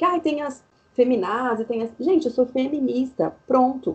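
A woman's voice comes across as somewhat breathy. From interior of São Paulo state, Brazil. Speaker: university lecturer in public health. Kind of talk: casual interview chat. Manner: animated.

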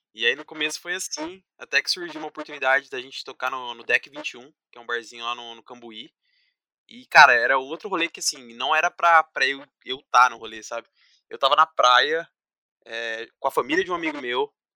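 At a fairly quick pace, an ordinary speaking voice moves through big swings in loudness with ordinary pitch variation, in a dry, close sound with no echo. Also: man. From São Paulo state, Brazil (Paulínia, near Campinas). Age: 20s. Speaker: systems analyst and musician. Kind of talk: casual chat.

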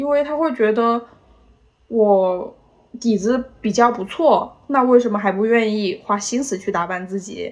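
At a fairly slow pace, a woman speaks in an unremarkable speaking voice, fairly high in pitch with ordinary pitch variation. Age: 20s. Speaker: podcast guest, office worker. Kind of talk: casual chat.

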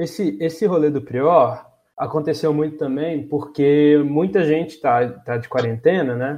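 The man's pitch is fairly high. He talks at a moderate pace with ordinary pitch variation. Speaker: podcast host. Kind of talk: casual chat. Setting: remote recording from home.

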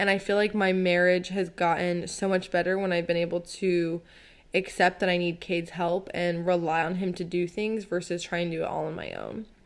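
At a fairly quick pace, a woman talks with monotone, flat intonation. Her pitch is fairly low. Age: 20s. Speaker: podcast host. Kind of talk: casual chat.

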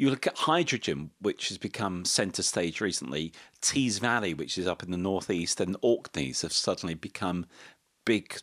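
A man with a British accent speaks at a fairly slow pace in a very deep, low voice with lively intonation, recorded dry and close with no echo, very clean, over a silent background. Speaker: economist. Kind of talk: casual chat.

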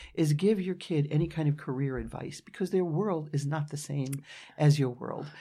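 Dark and mellow in tone, a woman with a New York accent speaks at a moderate pace with lively intonation. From New York City, Brooklyn. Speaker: futurist, business owner. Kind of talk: interview.

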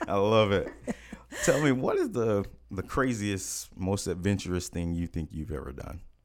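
A man with an American accent, fairly low-pitched, at a moderate pace, in an unremarkable speaking voice with lively intonation. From United States. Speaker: podcast host. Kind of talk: casual interview.

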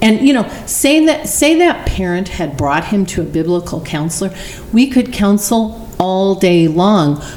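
A woman with an American accent speaks at a fairly slow pace, her pitch swinging very widely. Noticeable background noise runs underneath. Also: medium pitch for a woman. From Arizona. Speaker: church member sharing testimony. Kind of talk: testimony; casual chat.

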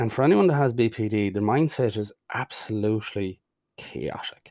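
A man with an Irish accent, fairly low pitch, ordinary pitch variation and a fairly slow pace. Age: 40s. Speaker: mental health podcaster. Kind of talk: personal monologue. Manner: halting.

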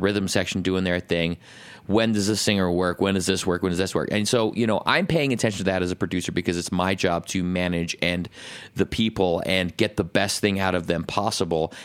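On a very clean recording with a silent background, the voice moves at a fairly quick pace with fairly even intonation and very even loudness. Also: man, very deep, low pitch for a man. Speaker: podcast co-host, recording studio owner. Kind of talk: casual chat, podcast banter. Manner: profane, casual, rambling.

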